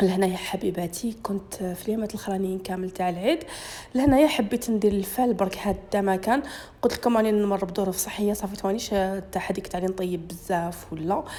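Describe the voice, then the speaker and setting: With noticeable background noise behind her, a woman speaks at a fairly quick pace. Her pitch is medium, with ordinary pitch variation. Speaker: cooking YouTuber. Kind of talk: cooking tutorial.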